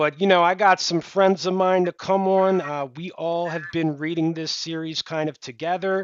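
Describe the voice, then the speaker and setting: In a Delaware accent, a man speaks at a high pitch and a moderate pace with hardly any pauses. His intonation stays monotone and flat. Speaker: book channel host. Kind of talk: casual chat.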